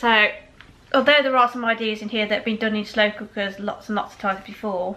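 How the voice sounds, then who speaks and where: A woman with a West Midlands accent talks at a fairly high pitch and fairly quick pace, keeping her intonation fairly even. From West Midlands, England. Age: 30s. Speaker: food vlogger. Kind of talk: casual product review. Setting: indoors with patio doors open. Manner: fast.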